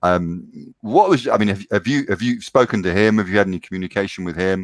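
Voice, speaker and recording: A man with a British accent talks at a fairly quick pace, fairly low in pitch with ordinary pitch variation. The very clean recording has a silent background and a dry, close sound with no echo. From Britain. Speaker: podcast host. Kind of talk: interview conversation. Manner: hesitant, many fillers.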